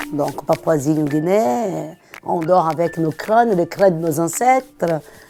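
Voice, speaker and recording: Very slow speech from a woman, over noticeable background noise. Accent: Brazilian. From Brazil. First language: Portuguese (speaking French). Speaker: antiques dealer. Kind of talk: documentary interview.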